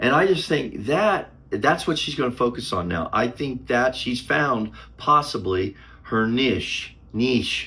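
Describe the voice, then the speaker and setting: The man's voice sits at a medium pitch with vocal fry and a bright, sharp tone. He talks at a very slow pace with very wide pitch swings. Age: 60s. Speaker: YouTuber. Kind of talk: casual vlog talk to camera. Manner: halting.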